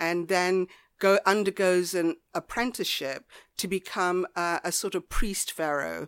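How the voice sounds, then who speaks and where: A woman speaks at a medium pitch and a fairly slow pace, with fairly even intonation and a southern English accent. The sound is dry and close with no echo, on a very clean recording with a silent background. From southwest England, Devon near Lyme Regis. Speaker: author. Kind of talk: casual chat. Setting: homemade studio.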